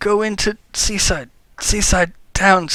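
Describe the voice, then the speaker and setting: A man puts on a whiny character voice at a high pitch. He talks at a fairly slow pace. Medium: game stream. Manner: whiny, halting.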